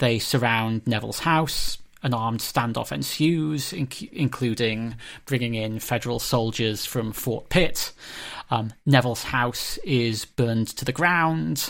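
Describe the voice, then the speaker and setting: A man in a normal speaking voice talks at a fairly slow pace with a medium pitch and ordinary pitch variation, on a very clean recording with a silent background. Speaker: history professor and podcast host. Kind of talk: academic discussion.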